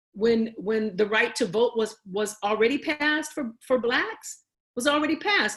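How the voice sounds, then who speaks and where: Her pitch swinging very widely, a woman speaks with an American accent. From Chicago (Bronzeville). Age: 60s. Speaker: panelist on racism. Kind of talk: panel talk, history presentation. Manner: repetitive, emphatic.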